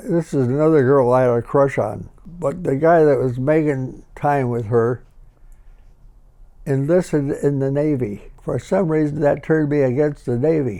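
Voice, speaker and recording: A man speaks at a moderate pace in a Midwestern accent, his fairly high voice having a dark, mellow tone. His pitch varies in an ordinary way. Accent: American Midwestern. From Harvey, Illinois (Chicago area). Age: 80s+. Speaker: war veteran. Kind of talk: interview answer.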